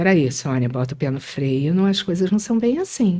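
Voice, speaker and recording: In a very clean recording with a silent background, a woman with a dark, mellow tone makes very wide pitch swings. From Brasília, Brazil; moved to Rio as teen. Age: 60s. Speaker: retired schoolteacher, writer. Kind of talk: interview.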